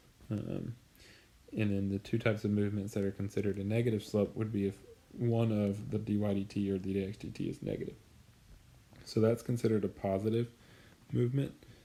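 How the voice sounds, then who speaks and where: Long, frequent pauses break up a man's monotone, flat delivery. His tone is dark and mellow, his pitch fairly low. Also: fairly quick pace. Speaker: high school math teacher. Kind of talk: recorded lecture. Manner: filler-heavy, with frequent um and uh.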